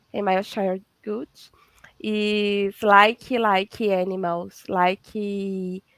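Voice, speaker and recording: In a strong Brazilian accent, the voice moves at a very slow pace with fairly even intonation, sounding dry and close with no echo. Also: woman, medium pitch for a woman. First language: Portuguese. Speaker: veterinarian and holistic therapist. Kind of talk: casual interview chat. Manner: halting, searching for English words.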